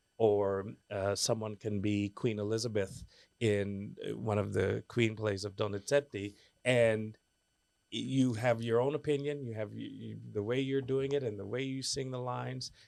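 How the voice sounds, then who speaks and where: A man's fairly low voice with an American accent, an ordinary speaking voice at a moderate pace with ordinary pitch variation, on a very clean recording with a silent background. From United States. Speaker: opera singer. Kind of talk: interview answer.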